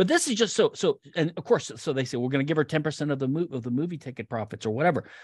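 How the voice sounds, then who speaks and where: This man talks at a very fast pace with hardly any pauses, his fairly high voice somewhat breathy and his intonation lively. The sound is dry and close with no echo, over a quiet background. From Louisiana. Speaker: retired patent attorney. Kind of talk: lecture.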